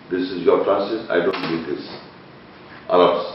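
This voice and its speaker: This man's voice comes through with noticeable background noise. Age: 60s. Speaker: internet TV presenter and Quran researcher. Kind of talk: heated debate.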